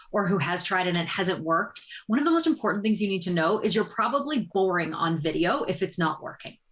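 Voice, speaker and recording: Her intonation lively, a woman speaks in a somewhat breathy voice. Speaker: business community-building expert. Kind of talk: podcast interview. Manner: fast.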